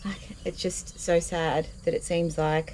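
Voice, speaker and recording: A woman is speaking. She has an Australian accent. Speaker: vlogger. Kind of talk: casual talk to camera. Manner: quiet, reflective.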